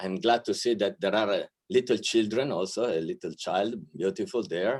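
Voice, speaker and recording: Speaking with an Italian accent, a man at a medium pitch moves at a moderate pace with lively intonation. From Italy, Milan. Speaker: archbishop, diplomat. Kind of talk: welcome speech. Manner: hesitant, with many fillers.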